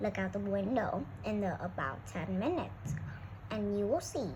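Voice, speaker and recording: A woman performs in a put-on character voice at a moderate pace. Loud background noise runs behind her. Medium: read story. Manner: brisk, businesslike.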